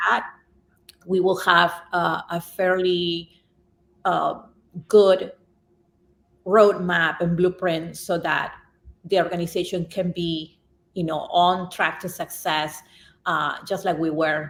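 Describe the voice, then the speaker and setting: Spoken in a Spanish accent, the words come at a very slow pace in a monotone, flat intonation, broken by long, frequent pauses. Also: woman, fairly low pitch for a woman. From Peru. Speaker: nonprofit executive director. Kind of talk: podcast interview answer.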